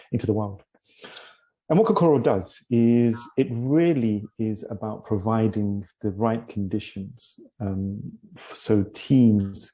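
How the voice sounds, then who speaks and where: Speaking at a very slow pace, a man has a British accent and ordinary pitch variation. His loudness swings widely. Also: medium pitch for a man. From London, England. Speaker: leadership coach and tech CEO. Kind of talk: interview. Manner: hesitant, many fillers.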